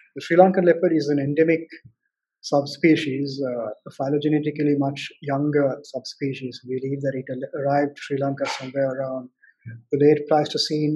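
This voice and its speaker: There is a quiet background while a man speaks at a moderate pace. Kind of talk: lecture. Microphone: webcam.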